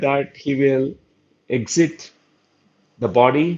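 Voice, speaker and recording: With a Telugu accent, a man speaks in a fairly high voice. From India. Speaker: spiritual teacher / doctor. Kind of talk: lecture. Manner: halting, with filler sounds.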